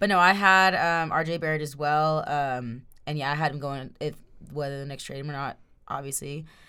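The pace is fairly quick and the tone is bright and sharp. Room echo can be heard. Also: woman. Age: 20s. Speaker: sports podcast co-host. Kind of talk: casual chat.

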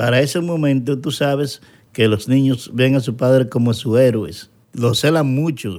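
A man speaks at a fairly slow pace with an unremarkable speaking voice. His pitch is medium with ordinary variation, and the recording is very clean with a silent background. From Dominican Republic, Santo Domingo. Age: young. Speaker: interview guest, painter. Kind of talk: personal testimony interview.

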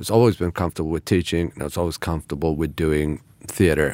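A man talks with a very deep, low pitch and vocal fry. His intonation stays fairly even. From Iran. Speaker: actor and acting teacher. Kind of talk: casual chat.

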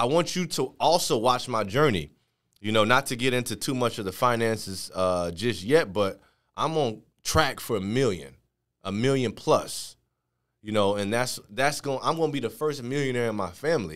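Lively intonation marks a man's medium-pitched voice at a moderate pace. The recording is very clean, with a silent background. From Chicago, Illinois. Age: 30s. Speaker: entrepreneur, podcast host. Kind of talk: casual monologue.

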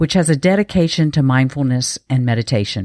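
In a North Carolina accent, a woman speaks at a moderate pace with a very deep, low pitch and ordinary pitch variation, on a very clean recording with a silent background and a dry, close sound with no echo. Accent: Southern US, North Carolina. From eastern North Carolina. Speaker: peak performance coach. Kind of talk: casual interview.

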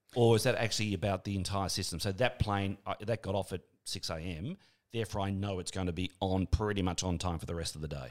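Someone with an Australian accent speaks at a very fast pace on a very clean recording with a silent background. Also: man, fairly low pitch for a man, ordinary pitch variation. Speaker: podcast host and radio presenter. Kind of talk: interview. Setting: studio. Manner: animated.

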